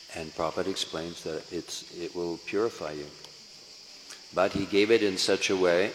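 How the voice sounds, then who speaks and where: Speaking at a moderate pace, a man uses a very deep, low pitch and a monotone, flat intonation. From US West Coast, San Francisco. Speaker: Hare Krishna preacher. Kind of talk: lecture. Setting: temple hall with audience.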